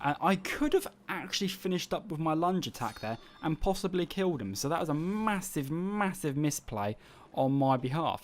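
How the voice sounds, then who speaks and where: Speaking with an English accent, a man with a fairly high pitch talks at a moderate pace with lively intonation. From England. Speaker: gamer. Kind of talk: gameplay commentary. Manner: casual.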